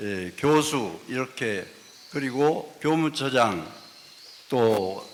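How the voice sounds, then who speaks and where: Over noticeable background noise, a man talks at a medium pitch. His pace is very slow, his intonation lively. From Gochang, North Jeolla, Korea. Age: 70s. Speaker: retired professor, writer. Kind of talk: self-introduction at a symposium.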